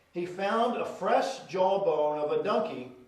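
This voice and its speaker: A man talks at a fairly slow pace with an American accent. Noticeable background noise runs under his speech. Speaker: pastor. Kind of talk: sermon. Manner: conversational, preaching.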